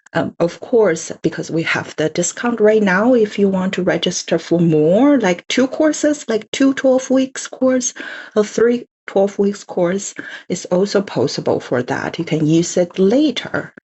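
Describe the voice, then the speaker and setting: Speaking at a fairly slow pace with a Chinese accent, a woman of medium pitch sounds somewhat breathy and has lively intonation. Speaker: language course presenter. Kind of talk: online info session presentation. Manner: halting, many fillers.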